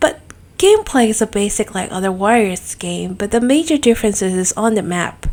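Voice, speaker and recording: Speaking at a moderate pace, a woman uses lively intonation in a fairly high pitch. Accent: non-native. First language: not English. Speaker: gaming YouTuber. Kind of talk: casual video review monologue.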